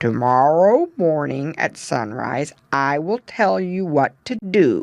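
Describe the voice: Fairly slow speech in a put-on character voice, pitched in the middle range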